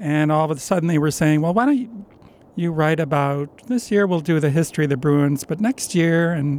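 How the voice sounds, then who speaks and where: Using a normal speaking voice, a man talks at a moderate pace, fairly high in pitch, with ordinary pitch variation. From upstate New York. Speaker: sports journalist. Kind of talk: interview. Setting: studio.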